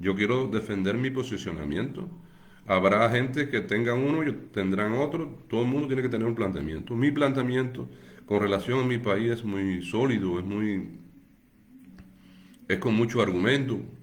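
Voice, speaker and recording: With audible echo in the room, a man of medium pitch talks with lively intonation. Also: moderate pace. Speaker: political activist. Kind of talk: livestream monologue. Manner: halting.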